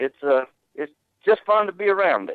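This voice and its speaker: This man has a Southern US accent. He moves at a moderate pace with very wide pitch swings. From Georgia, US South. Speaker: tow company owner. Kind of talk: interview.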